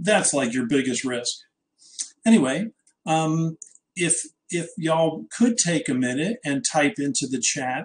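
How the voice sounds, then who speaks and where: Speaking fairly slowly with long, frequent pauses, a man with an American accent has a fairly high pitch and lively intonation. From New Jersey. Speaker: trading educator. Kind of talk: webinar presentation. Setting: live online webinar.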